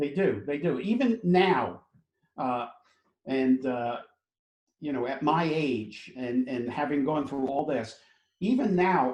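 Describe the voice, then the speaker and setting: Speaking very slowly with long, frequent pauses, a man with an American accent and a fairly high pitch uses lively intonation. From New York City. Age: 70s. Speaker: entrepreneur and keynote speaker. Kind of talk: interview answer.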